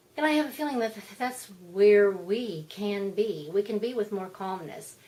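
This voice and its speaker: There is noticeable background noise behind a woman speaking at medium pitch. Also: ordinary pitch variation, moderate pace. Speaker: spiritual vlogger. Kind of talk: casual monologue. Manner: animated.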